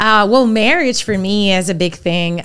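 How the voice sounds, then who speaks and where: Speech comes at a fairly slow pace in a Spanish accent. The intonation stays fairly even. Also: woman. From Venezuela. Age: 30s. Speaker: account manager. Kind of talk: interview.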